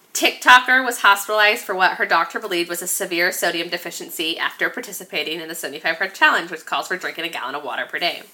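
A woman with a fairly low pitch speaks at a very fast pace, with hardly any pauses and an animated tone. Her pitch varies in an ordinary way, her loudness swings widely, and background noise is noticeable. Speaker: podcast co-host. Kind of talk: casual chat.

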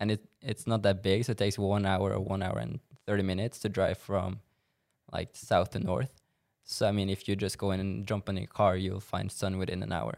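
A man's fairly low voice with vocal fry, fairly quick pace, and a dry, close sound with no echo. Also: ordinary pitch variation. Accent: Norwegian. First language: Norwegian. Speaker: former college soccer player and social media influencer. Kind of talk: casual interview. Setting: studio.

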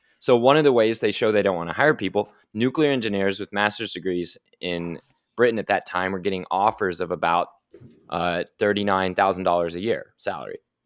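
The man has a fairly low pitch and an ordinary speaking voice, with ordinary pitch variation at a fairly quick pace. Everything sits on a very clean recording with a silent background. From Oklahoma City, Oklahoma. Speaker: nuclear energy advocate. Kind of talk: interview.

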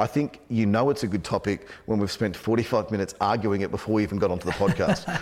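With fairly even intonation, a man speaks at a fast pace in a fairly low pitch. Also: slightly mellow tone.

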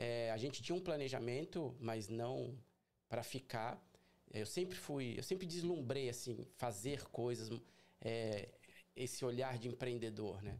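With an unremarkable speaking voice, a man talks at a fairly slow pace at medium pitch, with ordinary pitch variation and very even loudness. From Brazil, São Paulo city. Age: 40s. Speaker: carpet and upholstery cleaning business owner. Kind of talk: casual interview. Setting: livestream.

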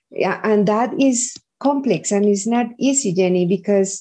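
A woman with a Spanish accent, fairly high pitch, and ordinary pitch variation. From Colombia, Medellin. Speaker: early education executive. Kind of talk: interview.

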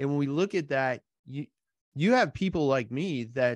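A man talks at a moderate pace in an unremarkable speaking voice, the sound dry and close with no echo and a quiet background. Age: 40s. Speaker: podcast host. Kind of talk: interview.

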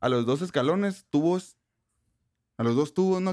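Lively intonation marks a man's fairly high voice. The recording is very clean with a silent background. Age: 20s. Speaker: podcast co-host. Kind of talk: casual chat. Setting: home studio in bedroom.

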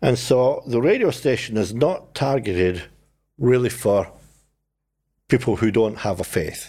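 In a Scottish accent, a dark, mellow voice moves at a moderate pace with lively intonation and long, frequent pauses, on a very clean recording with a silent background. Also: man, medium pitch for a man. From Scotland. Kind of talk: casual interview chat.

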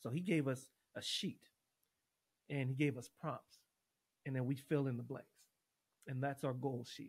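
Somewhat breathy and fairly high in pitch, a man with an American accent talks at a moderate pace with fairly even intonation and long, frequent pauses. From Los Angeles, Watts; high school in Portland. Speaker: university choir director and former college football player. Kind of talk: casual interview, life stories.

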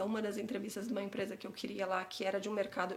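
Audible room echo surrounds a woman speaking at a fairly high pitch in a monotone, flat intonation. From São Paulo city, Brazil (Santana, North Zone). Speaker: immigration consultant. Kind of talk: casual interview.

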